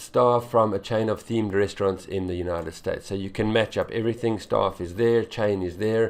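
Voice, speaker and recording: With an unremarkable speaking voice, a man talks at a moderate pace, medium in pitch with fairly even intonation. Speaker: English exam tutor. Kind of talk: tutorial.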